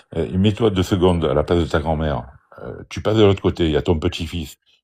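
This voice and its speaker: Against a quiet background, a man with vocal fry and a very deep, low pitch speaks at a fairly quick pace. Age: 60s. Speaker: out-of-body experience speaker. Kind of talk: live stream discussion. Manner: animated.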